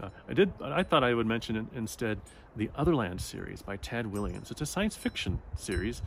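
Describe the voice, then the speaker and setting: A man with a medium pitch talks at a moderate pace with lively intonation. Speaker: book vlogger. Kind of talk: casual chat. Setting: outdoors in the woods. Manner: soft-spoken; halting, many fillers.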